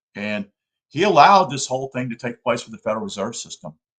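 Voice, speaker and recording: A medium-pitched man with an American accent at a very fast pace, in a dry, close sound with no echo. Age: 60s. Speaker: political commentator. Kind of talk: live-stream talk. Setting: live stream. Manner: halting.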